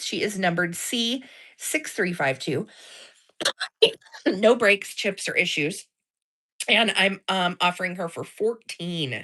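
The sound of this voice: A woman uses a put-on character voice, hoarse and raspy, at a medium pitch with lively intonation. She speaks at a fairly slow pace with long, frequent pauses.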